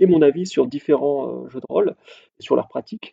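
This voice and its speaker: This man has a normal speaking voice, pitched fairly high, and keeps a moderate pace. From southern France, Montpellier. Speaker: podcast host, role-playing game blogger. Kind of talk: solo podcast monologue.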